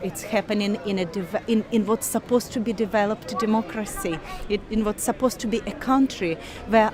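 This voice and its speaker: A woman speaks at a moderate pace with a non-native accent. Noticeable background noise runs behind her. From Ukraine. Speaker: university lecturer. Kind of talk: interview.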